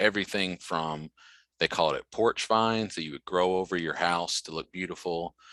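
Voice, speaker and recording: With a slight Southern US accent, a man speaks at a very deep, low pitch in a bright, sharp tone with ordinary pitch variation, in a very clean recording with a silent background and a dry, close sound with no echo. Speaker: extension educator. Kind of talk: lecture.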